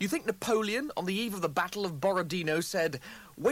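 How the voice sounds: The speaker has a natural reading voice with ordinary pitch variation.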